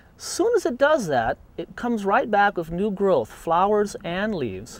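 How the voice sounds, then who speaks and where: The recording is dry, with no echo. A man speaks at a moderate pace, his pitch swinging very widely. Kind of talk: tutorial. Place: garden.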